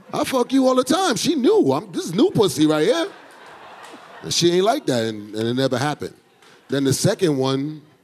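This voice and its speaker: Amid noticeable background noise, a high-pitched man talks at a fairly quick pace with very wide pitch swings and long, frequent pauses. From New York, Brooklyn. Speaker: comedian. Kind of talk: warm-up hype and stand-up storytelling. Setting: stage with live audience. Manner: loud, crowd-pumping hype man.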